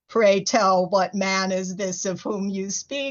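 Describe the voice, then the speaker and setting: A woman in a put-on character voice, booming and rumbling, speaks at a very slow pace. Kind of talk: archaic, formal. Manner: confidential, gossipy.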